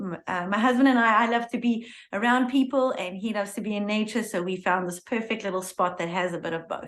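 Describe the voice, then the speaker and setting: A woman with a South African accent speaks at a fairly high pitch. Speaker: yoga instructor. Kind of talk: casual interview chat. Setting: video podcast recording.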